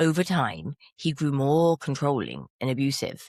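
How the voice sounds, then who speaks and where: Someone with an English accent is heard in a very clean recording against a silent background. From England. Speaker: podcast host. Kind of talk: casual chat.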